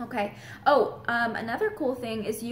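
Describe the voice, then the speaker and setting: A woman speaks at a fairly slow pace in a somewhat breathy voice, with audible echo in the room. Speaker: real estate agent. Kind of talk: vlog.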